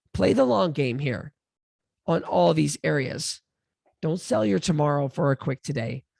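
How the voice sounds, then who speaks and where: A woman's very deep, low voice with a dark, mellow tone, vocal fry and very wide pitch swings, at a moderate pace with long, frequent pauses, dry and close with no echo over a quiet background. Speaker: weight loss coach and podcaster. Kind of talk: motivational talk. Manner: animated.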